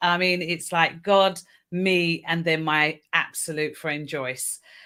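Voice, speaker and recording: In a very clean recording with a silent background, a woman with a British accent speaks very slowly, her fairly low pitch, fairly even intonation and bright, sharp tone all clear. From United Kingdom. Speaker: mindset coach. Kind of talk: live panel discussion.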